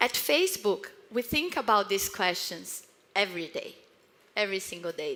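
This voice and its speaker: With a Brazilian accent, a woman speaks at a moderate pace in a fairly high pitch over noticeable background noise. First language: Portuguese. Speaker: marketing executive. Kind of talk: conference talk.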